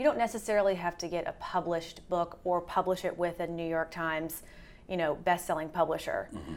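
With an American accent, a woman with an unremarkable speaking voice and fairly low pitch talks at a fairly quick pace on a very clean recording with a silent background. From US South. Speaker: literary agent. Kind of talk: interview conversation.

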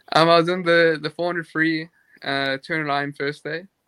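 Speaking at a fairly slow pace, a man with a South African accent uses monotone, flat intonation. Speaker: competitive swimmer. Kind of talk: casual chat. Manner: halting.

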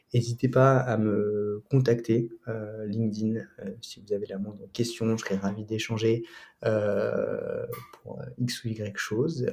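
Speaking very slowly, a man uses a medium pitch and a monotone, flat intonation, his voice somewhat breathy. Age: 20s. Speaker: student and prep school founder. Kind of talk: interview. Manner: hesitant, many fillers and repetitions.

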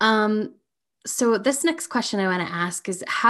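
On a very clean recording with a silent background, a woman with an ordinary speaking voice talks at a fairly slow pace with lively intonation. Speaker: podcast host. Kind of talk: interview, casual group chat.

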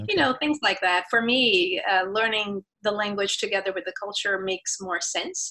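Speaking at medium pitch with a bright, sharp tone, a woman talks in a Portuguese accent. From Brazil. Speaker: university professor and researcher. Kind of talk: interview.

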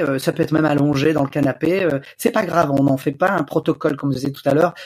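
A fairly high pitch marks this man's voice. It varies in an ordinary way. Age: 40s. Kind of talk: interview. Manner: hesitant, many fillers.

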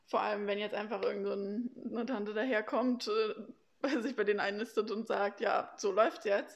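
Over a quiet background, a woman with a plain, everyday voice talks at a moderate pace, her fairly high pitch showing ordinary pitch variation. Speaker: former au pair. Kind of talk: casual interview.

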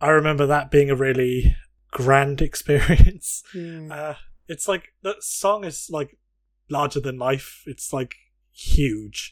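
Speaking at a very slow pace, a man's voice swings greatly in loudness. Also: fairly high pitch for a man, ordinary pitch variation. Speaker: podcast co-host.

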